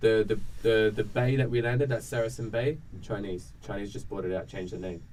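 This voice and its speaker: A man speaks at medium pitch in a dark, mellow tone. His fairly quick delivery carries audible room echo. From Australia. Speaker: vlogger. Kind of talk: casual chat. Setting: round table in Guangzhou.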